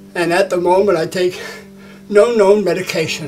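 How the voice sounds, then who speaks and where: Faint music plays behind a man speaking at a high pitch. He moves at a fairly slow pace with fairly even intonation. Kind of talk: interview answer. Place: gym.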